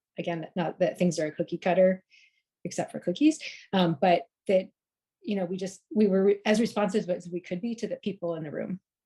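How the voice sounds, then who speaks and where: With a dark, mellow tone and medium pitch, a woman talks at a fairly quick pace using ordinary pitch variation. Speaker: accessibility workshop presenter. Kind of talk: online panel presentation. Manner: fast.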